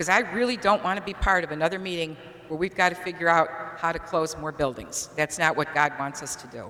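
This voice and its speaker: A woman with an American accent speaks in a fairly low pitch, with ordinary pitch variation and big swings in loudness, over noticeable background noise. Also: fairly quick pace. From Auburn, New York (upstate New York). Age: 60s. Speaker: parishioner. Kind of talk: public comment at a meeting.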